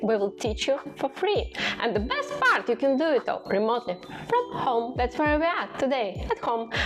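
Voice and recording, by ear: A woman talks at a fairly quick pace and a high pitch. Faint background noise can be heard.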